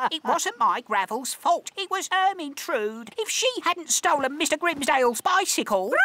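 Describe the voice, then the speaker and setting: This is a cartoonish character voice with a high pitch. It moves at a moderate pace with very wide pitch swings. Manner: formal, wordy.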